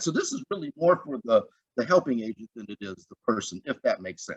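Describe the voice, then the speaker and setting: Using a fairly quick pace, a man with vocal fry makes very wide pitch swings in a dry, close sound with no echo. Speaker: conference presenter. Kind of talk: conference presentation.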